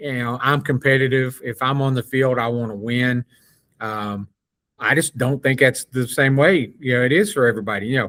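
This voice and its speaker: A normal speaking voice, male, at a moderate pace with ordinary pitch variation and a dry, close sound with no echo. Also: medium pitch for a man. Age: 60s. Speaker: sports podcast co-host. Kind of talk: casual chat.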